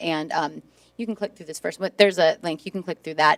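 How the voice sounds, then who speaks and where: A woman speaks at a very deep, low pitch with ordinary pitch variation. The recording is very clean, dry and close, with no echo and a silent background. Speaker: social studies teacher. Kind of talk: presentation to school board. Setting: board meeting room. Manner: loud.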